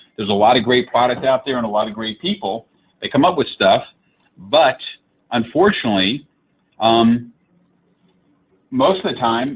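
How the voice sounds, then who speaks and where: This man talks in a medium pitch with lively intonation. He leaves long, frequent pauses. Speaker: digital marketing consultant. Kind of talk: webinar presentation. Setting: live online webinar. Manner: fast.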